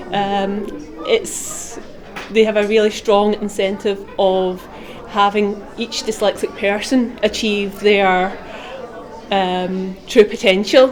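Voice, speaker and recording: A woman with a Scottish accent speaks very slowly in a fairly high voice, with noticeable background noise. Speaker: student teacher. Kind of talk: interview testimony.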